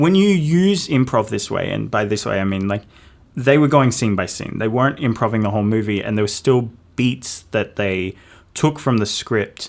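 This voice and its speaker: Speaking at a moderate pace with a New Zealand accent, a man uses a fairly low pitch and ordinary pitch variation. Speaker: podcast co-host. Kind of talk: casual chat.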